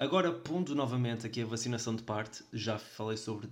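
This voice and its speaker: In a European Portuguese accent, a man speaks at a moderate pace and medium pitch. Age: 20s. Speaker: podcast host. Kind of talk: solo podcast monologue.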